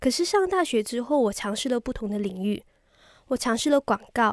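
Recorded very cleanly against a silent background, a woman's voice sounds dry and close, with no echo. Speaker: radio DJ trainee. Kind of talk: practice radio hosting segment.

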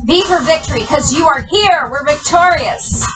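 Over music in the background, a woman uses a raised, projected voice at a fairly slow pace. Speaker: fitness instructor. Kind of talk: exercise class cueing. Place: home room.

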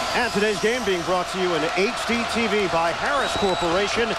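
Over loud background noise, a man speaks with ordinary pitch variation, the sound dry with no echo. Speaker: TV play-by-play announcer. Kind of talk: sports commentary. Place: stadium. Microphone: headset.

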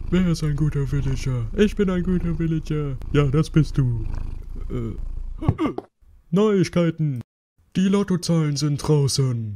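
A man puts on a character voice pitched fairly high, speaking at a fairly slow pace with long, frequent pauses. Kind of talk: comedic parody news broadcast. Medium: dub.

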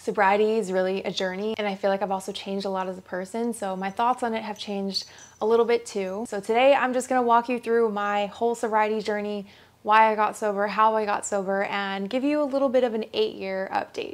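Her delivery comes very fast. The woman's intonation is fairly even. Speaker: lifestyle vlogger. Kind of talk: casual vlog chat. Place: home room.

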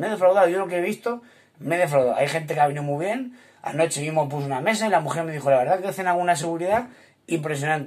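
A man at a high pitch and very fast pace, with lively intonation and an animated tone. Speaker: restaurant owner. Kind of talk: video monologue. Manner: halting.

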